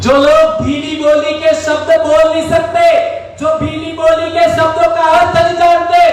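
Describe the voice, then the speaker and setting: Over crowd noise in the background and audible room echo, a man speaks at an extremely high pitch. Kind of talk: rally speech. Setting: outdoor rally ground with audience. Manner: loud, emphatic.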